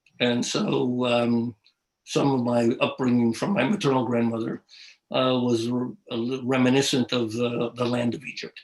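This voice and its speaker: Moderate pace and fairly even intonation from a medium-pitched man with a New York accent. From New York City. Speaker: art historian. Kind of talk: interview. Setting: live video stream. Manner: halting.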